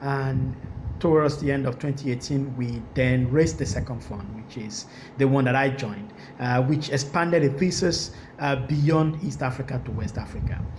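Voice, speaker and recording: Against noticeable background noise and audible room echo, a man with a Nigerian accent and a medium pitch talks at a moderate pace with ordinary pitch variation. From Nigeria, Lagos. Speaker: venture capital investor. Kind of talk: panel discussion. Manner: halting.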